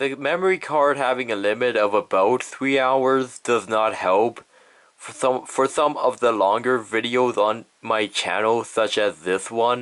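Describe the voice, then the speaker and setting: An unremarkable speaking voice from a man, medium in pitch and fairly slow in pace. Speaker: YouTuber. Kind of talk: casual vlog retrospective.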